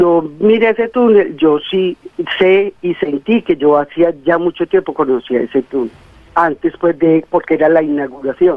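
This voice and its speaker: A fairly low-pitched woman's voice, fairly slow in pace, with ordinary pitch variation. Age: 60s. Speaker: caller. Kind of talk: testimony. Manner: halting.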